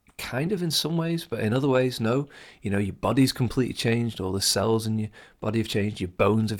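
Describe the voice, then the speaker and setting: A man with a British accent talks at a very fast pace and a medium pitch with ordinary pitch variation. The recording is very clean, with a silent background. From England. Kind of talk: solo podcast monologue. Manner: fast talker; personal, enthusiastic.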